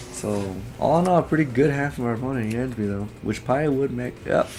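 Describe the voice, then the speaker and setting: A man's voice with music in the background. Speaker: gaming YouTuber. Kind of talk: gameplay commentary. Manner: halting, self-correcting.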